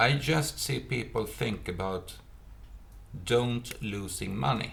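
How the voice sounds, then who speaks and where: With vocal fry and a Swedish accent, a man speaks very slowly in a fairly low pitch amid audible room echo. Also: lively intonation. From Sweden. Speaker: retired private investor. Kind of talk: monologue vlog. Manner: halting, many fillers.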